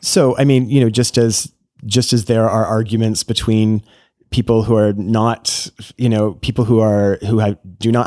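A man talks at a moderate pace. The recording is very clean, with a silent background. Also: dry, close sound with no echo. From small town Ontario, Canada. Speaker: priest. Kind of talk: casual interview chat.

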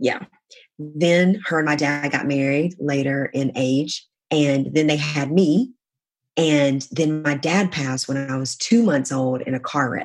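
Speaking in an American accent, a woman uses a very deep, low pitch with ordinary variation at a fairly slow pace. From US South, South Carolina. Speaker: sales coach for female entrepreneurs. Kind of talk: casual interview. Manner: animated.

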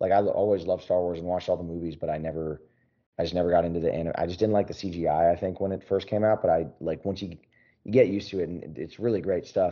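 Talking at a very fast pace, a man with an American accent has a very deep, low pitch and fairly even intonation. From Philadelphia. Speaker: country singer-songwriter. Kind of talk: casual interview chat.

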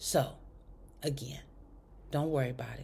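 A woman with a very deep, low pitch and a warm tone talks at a moderate pace, her pitch varying in an ordinary way. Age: 50s. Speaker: faith podcast host. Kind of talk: inspirational monologue. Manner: warm, conversational.

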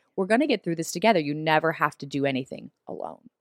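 A woman speaks with an American accent in a dry, close sound with no echo. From US South. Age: 30s. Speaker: TV host. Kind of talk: casual chat. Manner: animated.

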